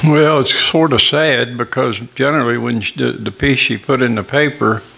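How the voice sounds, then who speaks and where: Medium in pitch, a man with an Appalachian accent speaks at a moderate pace with fairly even intonation amid noticeable background noise. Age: 80s+. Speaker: miller. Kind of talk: interview.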